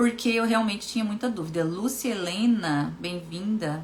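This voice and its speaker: Over noticeable background noise, a woman with a Brazilian accent sounds animated, speaking at a fairly high pitch with lively intonation. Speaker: hypnotherapist and coach. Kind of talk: live stream talk. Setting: Instagram live stream.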